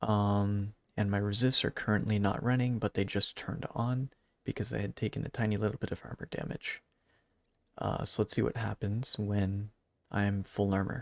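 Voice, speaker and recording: A quiet man's voice, fairly low in pitch, with fairly even intonation and a moderate pace, dry and close with no echo, on a very clean recording with a silent background. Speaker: gaming YouTuber. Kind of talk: gameplay commentary. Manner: quiet, subdued.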